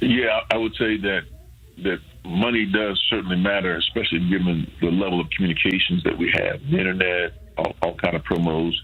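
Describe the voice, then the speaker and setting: Over noticeable background noise, a man talks at a fairly quick pace in a very deep, low voice. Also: ordinary pitch variation. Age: 70s. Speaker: pastor. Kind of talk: radio interview. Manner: halting, many fillers and repeats.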